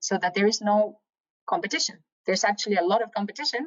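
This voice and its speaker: With a Spanish accent, a woman speaks at a fairly quick pace at a medium pitch with ordinary pitch variation. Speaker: professor. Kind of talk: lecture.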